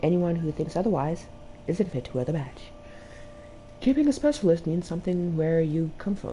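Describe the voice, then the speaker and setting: A woman speaks at a fairly low pitch with ordinary pitch variation. Her tone is dark and mellow, with vocal fry. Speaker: video game streamer. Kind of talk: gameplay stream, reading game text aloud with comments.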